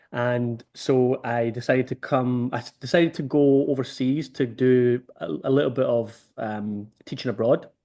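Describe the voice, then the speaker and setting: Barely pausing, a man with a Scottish accent speaks in a dark, mellow tone at a medium pitch with fairly even intonation. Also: moderate pace. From Scotland, Motherwell near Glasgow. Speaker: rugby development organiser. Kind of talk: interview over video call.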